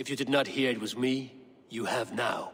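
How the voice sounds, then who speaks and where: A man puts on a raspy character voice at a medium pitch. His pace is moderate. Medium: video game. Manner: blunt, sardonic.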